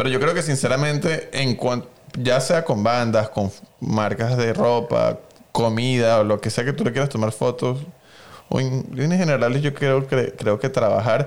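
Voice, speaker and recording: In a normal speaking voice, a man talks at a fairly slow pace and medium pitch, with ordinary pitch variation and very even loudness. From Venezuela. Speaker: photographer. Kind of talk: casual interview chat.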